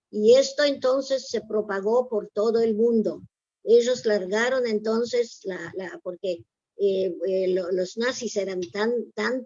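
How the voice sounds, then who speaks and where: This woman talks at a very slow pace, her pitch fairly high. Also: ordinary pitch variation. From Poland. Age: 90s. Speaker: Holocaust survivor. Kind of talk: testimony. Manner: halting.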